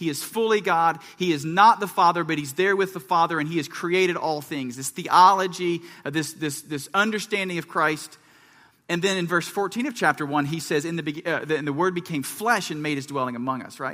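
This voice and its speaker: A man with an American accent speaks at a high pitch in a bright, sharp tone. His pace is fairly quick, with ordinary pitch variation. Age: 30s. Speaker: pastor. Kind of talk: sermon. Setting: church.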